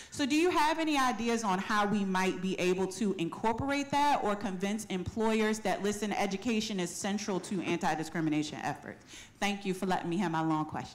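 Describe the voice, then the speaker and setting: A woman speaks at a fairly quick pace with lively intonation, a medium pitch, hardly any pauses and audible room echo. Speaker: audience member asking a question; civil rights education director. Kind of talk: audience question at panel. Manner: fast.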